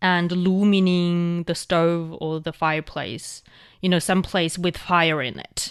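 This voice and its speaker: A woman with a Chinese accent speaks at a very slow pace in a fairly low pitch, with fairly even intonation over a quiet background. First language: Mandarin Chinese. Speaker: language show host. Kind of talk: educational casual chat. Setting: studio.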